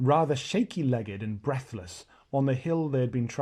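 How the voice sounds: The recording carries a natural reading voice.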